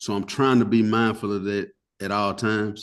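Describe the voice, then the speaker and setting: A man with a Southern US accent and a fairly low pitch, against a quiet background. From US South. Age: 30s. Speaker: funeral family speaker. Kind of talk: podcast interview. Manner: casual, talkative.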